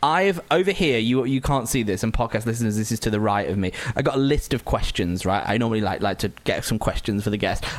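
At a very fast pace with hardly any pauses, a man holds a very even loudness, using a medium pitch and lively intonation. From Lancashire, northern England. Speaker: podcast host. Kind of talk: casual chat. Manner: laughs a lot.

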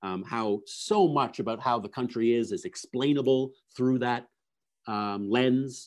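A man with a Canadian accent has a normal speaking voice at medium pitch. He speaks at a fairly slow pace against a quiet background. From Canada, Toronto. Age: 40s. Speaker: philosophy professor. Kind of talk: interview conversation. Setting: remote call.

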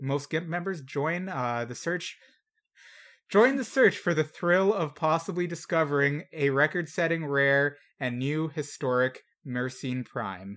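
On a very clean recording with a silent background, a man with an ordinary speaking voice talks at a fairly slow pace, his fairly high pitch showing ordinary pitch variation. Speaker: podcast host. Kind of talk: casual banter podcast. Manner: joking, casual.

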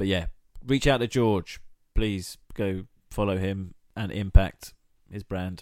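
A man with an English accent at a very slow pace and fairly low pitch, with long, frequent pauses, fairly even intonation and big swings in loudness. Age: 30s. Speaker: podcast co-host. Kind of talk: casual chat.

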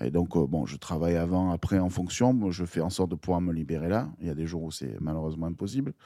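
On a very clean recording with a silent background, a man talks at a very fast pace with hardly any pauses, his very deep, low pitch carrying a dark, mellow tone. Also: ordinary pitch variation. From Marseille, southern France. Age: 30s. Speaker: water polo team manager and DJ. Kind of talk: casual chat. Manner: loud.

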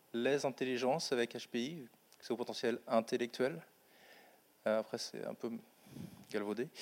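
A man's medium-pitched, fairly even voice at a fairly slow pace, with long, frequent pauses. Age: 30s. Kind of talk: panel testimony.

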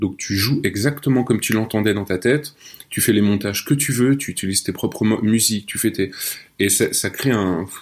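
A man's fairly low voice at a moderate pace, ordinary pitch movement, an unremarkable speaking voice. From France, Nancy. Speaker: audio fiction writer. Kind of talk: casual interview chat. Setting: remote call.

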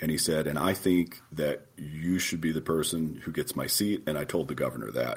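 The voice carries vocal fry. It moves at a fairly quick pace. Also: man. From southeastern Oklahoma. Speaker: federal judge. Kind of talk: interview.

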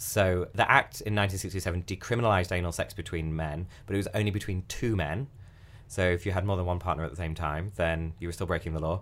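A man with a British accent speaks at a fairly quick pace. His pitch is very deep and low, and his intonation stays fairly even. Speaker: podcast host. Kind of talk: casual chat.

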